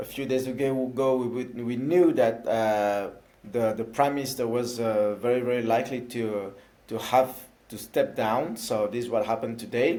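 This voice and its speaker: With a slight French accent, a man speaks at a moderate pace with medium pitch and fairly even intonation. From France. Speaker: elected councillor for citizens abroad. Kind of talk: interview. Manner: halting, many fillers.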